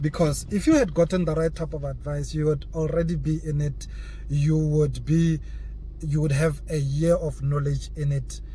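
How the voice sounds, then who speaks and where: The pace is moderate as a man speaks. Audible room echo is present. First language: not English. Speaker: crypto YouTuber. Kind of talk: casual vlog monologue. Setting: in a car. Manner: halting, repeats words.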